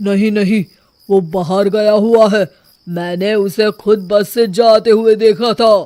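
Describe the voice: A man's cartoonish character voice, high in pitch, fairly slow and fairly even in intonation.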